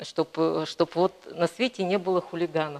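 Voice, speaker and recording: A woman with a fairly low voice talks at a moderate pace in a dry, close recording with no echo. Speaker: painter. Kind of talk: interview. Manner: hesitant, many fillers.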